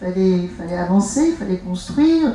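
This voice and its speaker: Noticeable background noise sits behind a woman speaking at a fairly slow pace. Her intonation is lively. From Algeria. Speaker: author. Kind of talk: author talk. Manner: halting.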